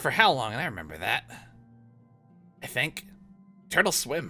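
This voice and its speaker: A man does a put-on character voice at medium pitch, raised and projected, with very wide pitch swings. He keeps a moderate pace while faint music plays behind him. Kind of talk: comic pirate voice. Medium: actual play. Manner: rambling, forgetful, self-pitying.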